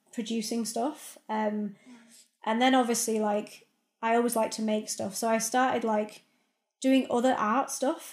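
A woman speaks at a fairly high pitch. The recording is very clean with a silent background. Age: 30s. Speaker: filmmaker. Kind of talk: interview.

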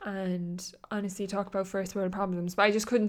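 A woman with an Irish accent at a moderate pace, medium-pitched and monotone with flat intonation, on a very clean recording with a silent background. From Ireland. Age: 20s. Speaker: podcast host. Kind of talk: casual solo chat.

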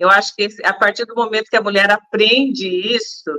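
A woman speaks at a moderate pace in a fairly high pitch with ordinary pitch variation. Her tone is bright and sharp, and the sound is dry and close with no echo. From Brazil, Pindamonhangaba (São Paulo state). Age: 50s. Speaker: entrepreneur and TV show co-host. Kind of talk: casual interview chat.

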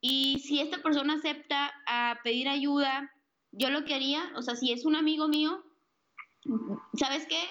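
The woman's pitch is high and her intonation fairly even. She speaks at a fairly slow pace. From Sonora, northern Mexico. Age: 20s. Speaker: author and suicide prevention advocate. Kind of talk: interview. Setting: Skype call.

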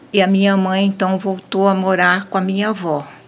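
A woman's voice at medium pitch and a moderate pace. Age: 70s. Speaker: elderly woman telling her life story. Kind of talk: storytelling.

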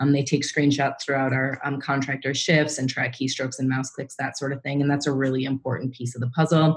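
A woman with a very deep, low pitch talks at a fairly quick pace in a monotone, flat intonation. Noticeable background noise runs behind her. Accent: American. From US Midwest, Minnesota. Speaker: startup founder. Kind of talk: interview. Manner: hesitant, many fillers.

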